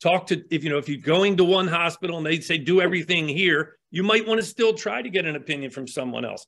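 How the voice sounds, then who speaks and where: Talking very fast, a man with an American accent uses a high pitch. His pitch varies in an ordinary way. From US, Baltimore, Maryland. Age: 60s. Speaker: tattoo artist. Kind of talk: interview.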